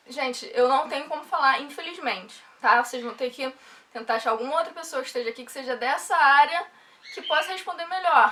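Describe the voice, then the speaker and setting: A woman's raised, projected voice, high in pitch with lively intonation, over noticeable background noise. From Rio de Janeiro, Brazil. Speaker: software developer vlogger. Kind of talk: casual vlog talk.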